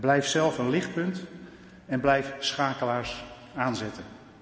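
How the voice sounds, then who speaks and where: Noticeable background noise and audible room echo surround a man's voice. He speaks at a fairly slow pace in a medium pitch with fairly even intonation. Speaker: church council member. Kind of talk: farewell speech. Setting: church.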